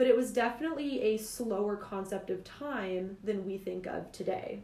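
Speaking with a plain, everyday voice, a woman keeps a moderate pace at a fairly high pitch, her pitch varying in an ordinary way. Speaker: podcast host. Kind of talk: casual podcast discussion.

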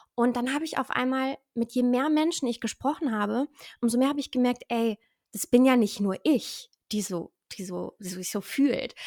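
High-pitched, a woman speaks at a moderate pace with ordinary pitch variation, the sound dry and close with no echo. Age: 20s. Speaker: stress trainer and mental coach. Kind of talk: interview.

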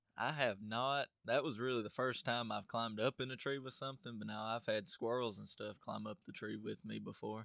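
In a rural Southern US accent, a man with a medium pitch and a bright, sharp tone talks at a fairly quick pace with fairly even intonation, in a dry, close sound with no echo. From US South, Tennessee (DeKalb County). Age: young. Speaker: young tradesman and hunter. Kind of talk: casual interview. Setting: studio.

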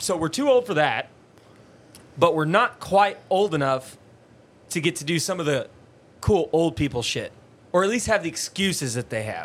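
Using lively intonation at a high pitch, a man speaks at a moderate pace with long, frequent pauses. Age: 20s. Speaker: podcast co-host. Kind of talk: casual chat. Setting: studio.

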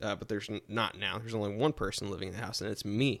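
A man talks very rapidly on a very clean recording with total silence behind him. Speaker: podcast guest. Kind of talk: casual chat.

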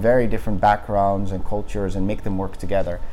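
There is audible room echo and noticeable background noise around a man's voice. He talks at a fairly quick pace with lively intonation. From Netherlands. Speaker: startup founder and CEO. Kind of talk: interview. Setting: company office.

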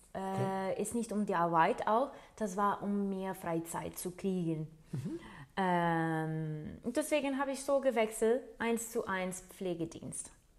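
A woman with a Portuguese accent, medium pitch, lively intonation and a very slow pace. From Portugal. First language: Portuguese (speaking German). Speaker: nurse. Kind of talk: interview. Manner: hesitant, with many fillers.

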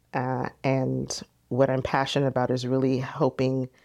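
A woman with a very deep, low pitch and an American accent against a quiet background. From San Diego, California. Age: 40s. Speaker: entrepreneur and event promoter. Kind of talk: interview conversation.

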